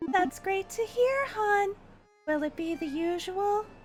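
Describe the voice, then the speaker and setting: With faint music in the background, a female-sounding voice uses a put-on character voice at an extremely high pitch and a fairly slow pace. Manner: warm, kindly.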